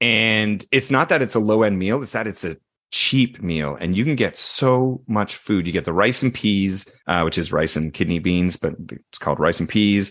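A man with a Canadian accent has a normal speaking voice, fairly low in pitch with ordinary pitch variation. He talks fairly slowly against a quiet background. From Canada, Toronto. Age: 40s. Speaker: actor. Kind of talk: casual chat.

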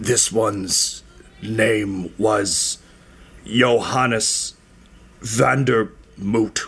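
Long, frequent pauses break up a man's put-on character voice. He speaks at a very slow pace and medium pitch. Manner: working his jaw after the gag is pulled down.

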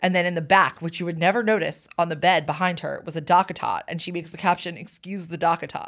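A woman with a fairly low pitch talks at a very fast pace in an animated tone, with big swings in loudness and hardly any pauses. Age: 30s. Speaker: podcast co-host. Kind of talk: casual pop culture chat. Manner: animated, laughing.

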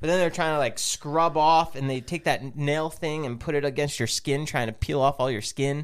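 A man with an ordinary speaking voice talks at a moderate pace and a fairly high pitch. His intonation is fairly even, and there are hardly any pauses. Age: 30s. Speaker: podcast co-host. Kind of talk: casual chat.

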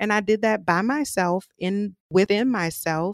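A woman with an American accent speaks at a moderate pace and medium pitch, her intonation lively. The recording is very clean with a silent background, and the sound is dry and close with no echo. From New Orleans, US South. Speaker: mental health advocate and podcaster. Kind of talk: casual interview conversation. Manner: eloquent speaker.

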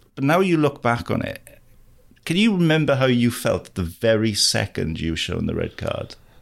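A man's medium-pitched voice with very wide pitch swings at a moderate pace. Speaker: rugby journalist and co-host. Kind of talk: casual interview chat.

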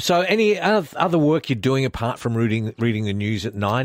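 On a very clean recording with a silent background, a man with an Australian accent talks at a fairly quick pace, his medium-pitched voice carrying lively intonation. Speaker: radio host. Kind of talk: casual radio interview. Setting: radio studio.

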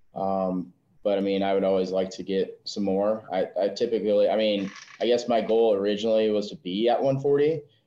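A normal speaking voice from a man with an American accent, fairly low in pitch, at a moderate pace with ordinary pitch variation. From US Midwest (South Dakota). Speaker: gym owner, Marine veteran. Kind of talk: podcast interview.

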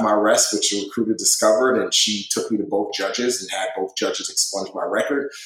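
Audible room echo hangs around this voice. A man speaks at a very fast pace. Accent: American. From Nigeria and the Bronx, New York. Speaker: former Navy SEAL and filmmaker. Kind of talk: interview.

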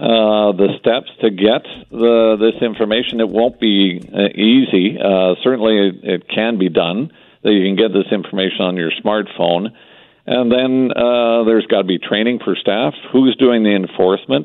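Speaking with a Canadian accent, a man with an ordinary speaking voice and a fairly low pitch talks at a moderate pace with ordinary pitch variation. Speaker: business chamber executive. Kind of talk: radio interview.

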